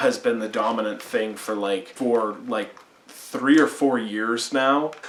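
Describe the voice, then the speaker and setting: A man speaks at a moderate pace and medium pitch, his intonation fairly even, with noticeable background noise. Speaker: music reviewer. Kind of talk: casual video review monologue. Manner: halting, many filler sounds; casual, conversational.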